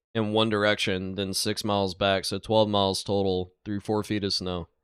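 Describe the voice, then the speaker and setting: In a very clean recording with a silent background, a man with a Southern US accent talks in an animated tone at a fairly low pitch. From south Georgia, US South. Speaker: truck driver and reaction video commentator. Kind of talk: reaction commentary. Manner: casual, animated.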